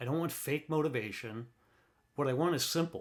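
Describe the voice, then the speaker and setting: A man speaks in a plain, everyday voice at a fairly high pitch. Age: 50s. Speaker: retired studio truck driver. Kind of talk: casual podcast monologue. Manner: candid, reflective.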